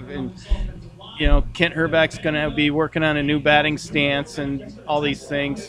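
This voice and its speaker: A man with an American accent and a fairly high pitch talks over noticeable background noise. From Minnesota. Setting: bar lounge.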